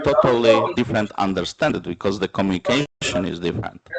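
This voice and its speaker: A man speaks at a moderate pace with lively intonation. The sound is dry and close, without echo. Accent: non-native. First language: Romani. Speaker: panel speaker, minority rights advocate. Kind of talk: conference panel discussion. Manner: halting, many filler sounds.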